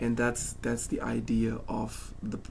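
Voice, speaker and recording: Speaking at a very slow pace, a man's voice carries audible room echo. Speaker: bass teacher. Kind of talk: music lesson to a student. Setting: home studio shed. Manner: hesitant, many fillers.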